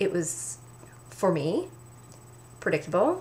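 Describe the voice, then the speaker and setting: A woman speaks with a Canadian accent and a fairly low pitch. Noticeable background noise sits behind her. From Canada. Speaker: book reviewer. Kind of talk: casual talk to camera.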